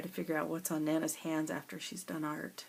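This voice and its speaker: On a very clean recording with a silent background, a woman with a very deep, low pitch speaks with fairly even intonation. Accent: American. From US South. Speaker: craft tutorial creator. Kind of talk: tutorial. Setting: at home. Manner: casual, thinking aloud.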